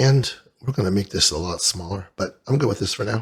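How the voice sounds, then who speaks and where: Lively intonation marks this man's fairly low, somewhat breathy voice. He speaks at a moderate pace. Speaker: 3D modeling tutorial instructor. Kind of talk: software tutorial screen-recording narration. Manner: casual, conversational.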